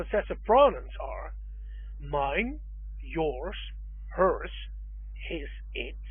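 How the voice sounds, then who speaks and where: A man talks at a very slow pace with a Dutch accent. The room echo is audible. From Netherlands. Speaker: language teacher. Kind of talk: tutorial.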